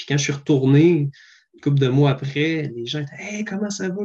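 Somewhat breathy and dark, mellow in tone, a man with a Quebec accent speaks at a moderate pace in a fairly high pitch with ordinary pitch variation. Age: 20s. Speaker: paramedic. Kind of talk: interview.

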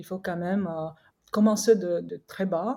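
A woman speaks in a dark, mellow tone that is somewhat breathy. Her intonation stays fairly even. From Korea. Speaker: skincare brand co-founder. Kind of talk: interview. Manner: halting.

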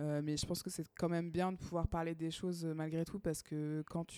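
A woman speaks in a fairly low pitch with a dark, mellow tone. Her intonation stays monotone and flat. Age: 30s. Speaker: podcast co-host. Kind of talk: casual chat.

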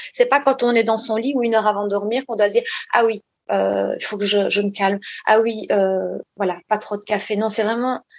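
Fairly high in pitch, a woman talks in a plain, everyday voice with fairly even intonation. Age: 40s. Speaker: psychologist. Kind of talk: interview.

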